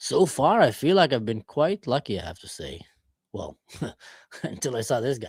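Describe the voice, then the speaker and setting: A somewhat breathy man speaks with very wide pitch swings, big swings in loudness and long, frequent pauses, in a dry, close sound with no echo on a very clean recording with a silent background. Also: medium pitch for a man, moderate pace. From Israel. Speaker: live streamer. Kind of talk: casual chat.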